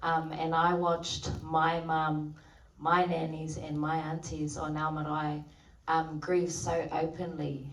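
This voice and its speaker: A woman with a very deep, low pitch speaks at a fairly slow pace in a monotone, flat intonation, with audible room echo and noticeable background noise. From New Zealand, Maori community. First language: Maori. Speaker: actor. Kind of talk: festival Q&A. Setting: stage with audience. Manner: hesitant, many fillers.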